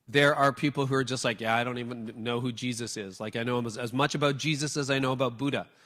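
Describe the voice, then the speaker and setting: Here a man with a Canadian accent talks at a very fast pace and a medium pitch. His intonation is fairly even, and the recording is very clean with a silent background. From Canada. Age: 50s. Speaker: church leadership speaker. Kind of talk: talk with audience Q&A.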